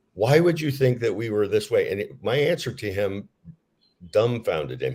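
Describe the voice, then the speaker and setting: Here a man of medium pitch talks at a fairly quick pace with lively intonation and vocal fry. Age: 60s. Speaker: author. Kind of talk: interview.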